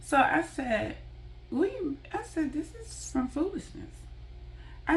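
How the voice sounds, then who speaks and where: A woman with an animated tone. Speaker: vlogger. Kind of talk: storytime monologue. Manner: stuttering from frustration.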